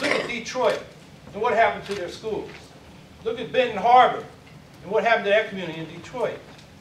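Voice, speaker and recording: A man with an American accent talks at a very fast pace and a high pitch, with ordinary pitch variation and long, frequent pauses. Noticeable background noise and audible room echo fill the recording. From San Francisco Bay Area, US. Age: 60s. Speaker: mayoral candidate. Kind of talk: candidate forum speech. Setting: community forum with audience. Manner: loud.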